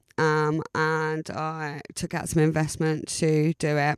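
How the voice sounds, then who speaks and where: Her very deep, low voice comes at a fairly slow pace in a dry, close sound with no echo. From Essex, England. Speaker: radio station founder and DJ manager. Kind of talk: podcast monologue. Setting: home studio. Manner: casual, many fillers.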